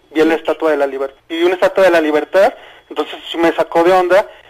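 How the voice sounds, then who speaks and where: Noticeable noise runs behind speech whose intonation is fairly even. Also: man. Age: 30s. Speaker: caller. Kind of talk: testimony. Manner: halting.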